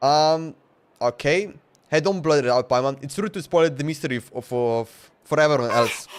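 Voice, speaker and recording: At a moderate pace, a man talks with a Slovenian accent. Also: fairly high pitch for a man, ordinary pitch variation. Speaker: gaming streamer. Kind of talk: live game stream commentary. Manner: casual, halting.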